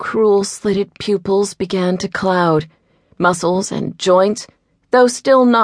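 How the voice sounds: The speaker reads in a natural reading voice, and the pitch varies in an ordinary way. Nothing much stirs in the quiet background.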